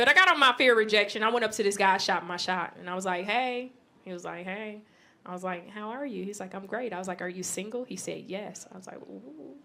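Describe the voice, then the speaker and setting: A woman talks very fast in an animated tone. Her loudness swings widely. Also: medium pitch for a woman, ordinary pitch variation. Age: 30s. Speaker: comedian. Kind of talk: stand-up. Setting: stage with audience.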